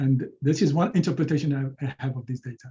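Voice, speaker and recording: In a Moroccan accent, a man speaks at a fairly high pitch with fairly even intonation. His voice is somewhat breathy. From Morocco. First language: Moroccan Arabic. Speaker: linguistics professor; presenter. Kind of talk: lecture. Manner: halting, many repetitions and fillers. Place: home room. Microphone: webcam.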